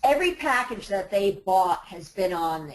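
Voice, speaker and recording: Moving at a moderate pace, a woman speaks with very wide pitch swings. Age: 60s. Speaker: website owner selling her business. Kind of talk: webinar Q&A. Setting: webinar audio bridge.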